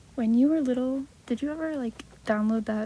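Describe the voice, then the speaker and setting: A soft-spoken voice moves along at a moderate pace. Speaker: ASMR creator. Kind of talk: casual talk to listener.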